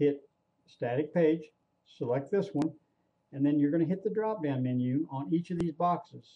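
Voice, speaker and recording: A man with an ordinary speaking voice, fairly high in pitch for a man, at a moderate pace with ordinary pitch variation and very even loudness. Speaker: online marketing trainer. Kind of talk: screen-recorded tutorial. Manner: casual, repetitive with fillers.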